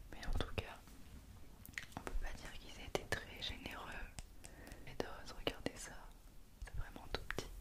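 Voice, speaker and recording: A woman whispers at a fairly slow pace. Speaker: ASMR content creator. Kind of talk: ASMR skincare unboxing, whispered triggers. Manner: whispered, soft. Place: home room. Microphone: studio mic.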